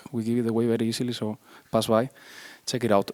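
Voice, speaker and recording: A man at medium pitch with a strong Spanish accent, in a dry, close sound with no echo. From Spain. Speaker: iOS developer, conference speaker. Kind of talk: conference talk. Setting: stage with audience. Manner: hesitant, many fillers.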